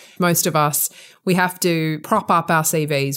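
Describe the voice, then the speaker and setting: In an Australian accent, the speaker goes at a fairly slow pace with fairly even intonation. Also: woman. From Australia (Sydney). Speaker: podcast host and lawyer. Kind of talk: interview.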